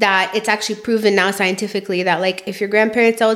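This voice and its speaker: A woman talking at a very fast pace in a monotone, flat delivery, against noticeable background noise. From immigrant background. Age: 20s. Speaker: podcast co-host. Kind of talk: casual chat.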